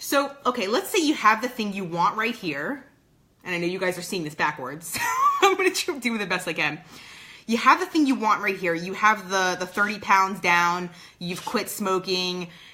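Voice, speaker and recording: A woman speaks at a moderate pace and medium pitch with lively intonation, over noticeable background noise. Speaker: performance coach. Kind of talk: motivational video talk. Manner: halting, many fillers.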